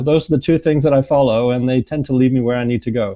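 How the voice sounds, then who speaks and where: Here a man speaks very fast with a slight Manchester accent. His pitch is medium and his tone dark and mellow. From northern England, Manchester. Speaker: music association executive and former musician. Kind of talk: interview. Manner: hesitant, many fillers.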